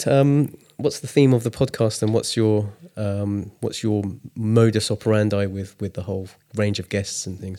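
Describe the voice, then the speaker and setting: A man with an English accent, dark and mellow in tone, at a moderate pace on a very clean recording with a silent background. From England. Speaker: artist. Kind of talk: casual chat. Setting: studio.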